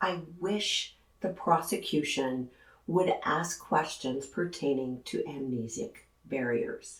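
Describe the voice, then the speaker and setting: The pace is very slow. The intonation is lively throughout. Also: woman, fairly low pitch for a woman. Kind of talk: true crime commentary to camera.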